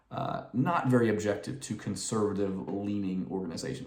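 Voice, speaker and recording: A man with an American accent, fairly low in pitch and fairly quick, with lively intonation, audible room echo and noticeable background noise. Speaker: political commentator. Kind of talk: casual commentary monologue. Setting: at home late at night. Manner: quiet, reserved.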